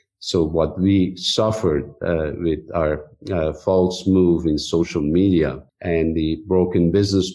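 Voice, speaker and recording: A man's very deep, low voice with a dark, mellow tone, fairly slow pace, fairly even intonation and a Persian accent. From Iran. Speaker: technology executive. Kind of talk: interview.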